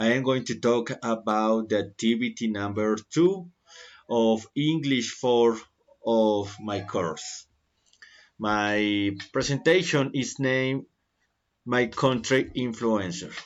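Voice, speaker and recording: Here a man talks at a very slow pace. His medium-pitched voice shows ordinary pitch variation. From Colombia. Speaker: university student. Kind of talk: class presentation. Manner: halting.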